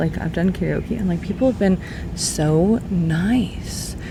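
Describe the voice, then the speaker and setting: The speaker is soft-spoken, with noticeable background noise around them. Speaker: beauty vlogger. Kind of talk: casual chat. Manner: rambling.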